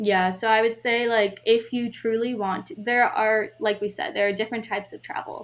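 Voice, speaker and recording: With an American accent, a woman uses a normal speaking voice at a moderate pace and fairly even intonation. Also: fairly high pitch for a woman, hardly any pauses. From US Midwest, Chicago suburbs. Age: 20s. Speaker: solo traveler. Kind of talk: interview.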